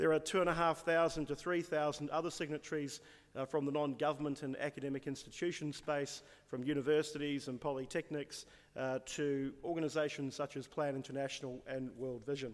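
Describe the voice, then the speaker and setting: A man with a New Zealand accent, fairly high-pitched, monotone and flat, at a fairly quick pace. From New Zealand (Māori). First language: Māori. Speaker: business leader and UN representative. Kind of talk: conference speech. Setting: conference audience. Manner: frequent fillers (um, uh).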